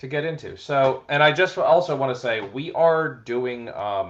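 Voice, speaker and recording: A man speaks with an American accent. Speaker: sports podcast co-host. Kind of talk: casual chat. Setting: livestreamed podcast. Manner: halting, many fillers.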